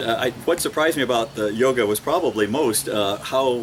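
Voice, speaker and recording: Noticeable background noise sits under speech delivered at a fairly quick pace with ordinary pitch variation. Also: man. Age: 60s. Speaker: small-town mayor, retired public health worker. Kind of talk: testimonial. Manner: hesitant, with fillers and repeats.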